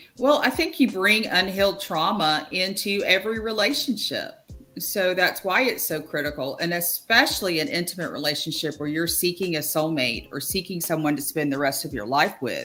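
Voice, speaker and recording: The intonation is lively, and the moderate pace runs with hardly any pauses. Noticeable background noise sits behind the voice. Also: woman, fairly low pitch for a woman. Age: 60s. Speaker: mental health advocate. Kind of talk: casual chat. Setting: podcast.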